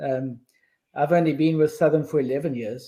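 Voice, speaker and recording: A man with a dark, mellow tone and a fairly high pitch talks at a moderate pace. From South Africa, Cape Town (Simonstown). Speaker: implant company managing director. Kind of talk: casual chat.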